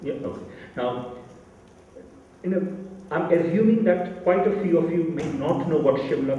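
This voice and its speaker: Amid audible room echo and noticeable background noise, a man talks at a fairly quick pace. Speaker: panel speaker on Tibet. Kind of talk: lecture. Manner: loud.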